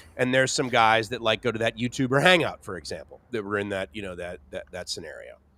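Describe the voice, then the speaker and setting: A man's medium-pitched voice in an American accent, very fast with hardly any pauses, ordinary pitch variation and big swings in loudness. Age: 50s. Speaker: livestream co-host. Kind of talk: casual chat. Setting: livestream.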